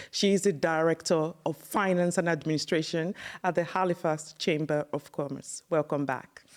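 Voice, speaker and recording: This woman talks at a moderate pace in a fairly low voice, her intonation fairly even. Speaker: family medicine physician and talk show host. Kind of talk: talk show host interview.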